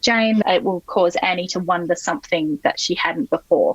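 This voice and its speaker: In an Australian accent, a woman speaks at a moderate pace with ordinary pitch variation, the sound dry and close with no echo. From Sydney, Australia. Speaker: novelist. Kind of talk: interview answer.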